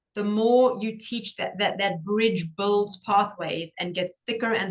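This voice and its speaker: In a South African accent, a woman speaks at a fairly slow pace with monotone, flat intonation. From South Africa, Cape Town. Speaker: pediatric occupational therapist. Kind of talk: interview.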